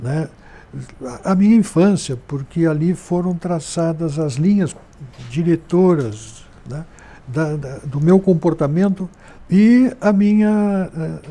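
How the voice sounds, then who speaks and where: This man has a high pitch and a dark, mellow tone, with ordinary pitch variation. He talks at a very slow pace, leaving long, frequent pauses. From southern Brazil, Rio Grande do Sul frontier (Santana do Livramento). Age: 70s. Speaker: journalist and writer. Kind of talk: interview.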